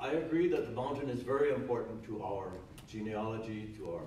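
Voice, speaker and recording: There is audible room echo and light background noise as a man speaks at medium pitch. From Hawaii. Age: old. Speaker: retired judge and former politician; panelist. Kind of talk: panel discussion. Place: hall. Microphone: camera far.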